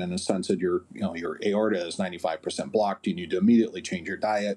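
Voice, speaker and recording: A man talks in a fairly low pitch with a dark, mellow tone. His intonation stays fairly even. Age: 50s. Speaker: author and persuasion consultant. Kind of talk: interview.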